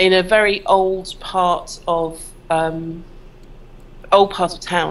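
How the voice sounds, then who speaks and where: A woman's fairly low, monotone voice with a southern English accent and flat intonation. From southern England, Worthing. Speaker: copywriter. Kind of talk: interview.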